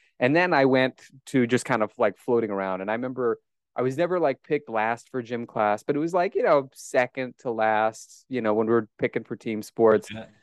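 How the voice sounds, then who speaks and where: A man with an American accent talks fairly quickly at a medium pitch, the sound dry and close with no echo over a quiet background. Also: ordinary pitch variation. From US Midwest, Omaha, Nebraska. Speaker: strength coach and author. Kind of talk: casual interview chat.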